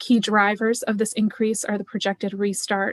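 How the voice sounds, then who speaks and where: Soft-spoken and at a fairly quick pace, the voice comes through dry and close with no echo against a quiet background. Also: woman. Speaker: finance staff presenter. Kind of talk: budget presentation.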